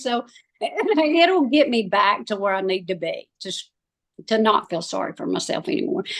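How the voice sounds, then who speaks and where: A woman with an Alabama accent speaks with very wide pitch swings. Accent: US Southern (Alabama). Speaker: cancer survivor. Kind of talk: interview.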